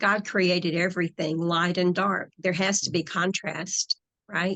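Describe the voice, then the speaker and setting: A woman speaks with an American accent at a fairly low pitch. Her intonation is monotone and flat. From US South. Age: 60s. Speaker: hypnotherapist and spiritual author. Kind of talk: interview conversation.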